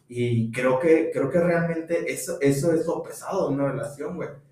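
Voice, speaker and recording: A man's voice at a moderate pace with ordinary pitch variation, plus audible room echo. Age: 20s. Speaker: podcast co-host. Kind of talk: casual chat.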